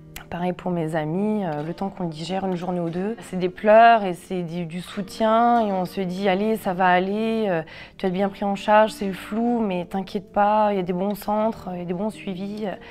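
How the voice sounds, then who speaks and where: A woman's medium-pitched voice with fairly even intonation, a moderate pace and hardly any pauses. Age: 30s. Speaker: cancer patient sharing her story. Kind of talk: testimony. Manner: halting, many fillers.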